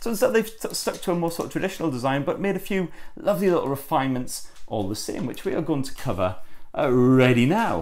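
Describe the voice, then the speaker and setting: Talking very fast in a northern English accent, a man uses a fairly high pitch with very wide pitch swings. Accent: northern English twang. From northern England. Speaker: tech reviewer. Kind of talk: unboxing review.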